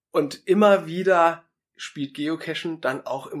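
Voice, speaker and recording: A man talks at a fairly high pitch with ordinary pitch variation. He has a plain, everyday voice. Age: 30s. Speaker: pastor. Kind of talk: interview.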